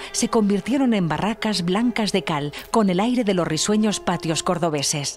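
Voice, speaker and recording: A woman speaks at a moderate pace and a medium pitch. Music plays in the background. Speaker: voice-over narrator. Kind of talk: documentary narration.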